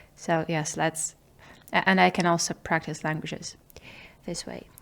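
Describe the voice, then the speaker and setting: With a very deep, low pitch and vocal fry, a woman with a non-native accent shows ordinary pitch variation and big swings in loudness. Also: moderate pace. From small town, unnamed country. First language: not English. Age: 20s. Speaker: video diarist. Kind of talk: personal video diary monologue. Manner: halting, hesitant with fillers.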